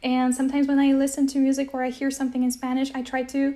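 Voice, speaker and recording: A woman talks at a very fast pace with an American accent, her pitch high. Her tone is dark and mellow, and her intonation is monotone and flat. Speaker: polyglot, language-learning influencer. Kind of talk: casual interview chat. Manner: hesitant, with fillers.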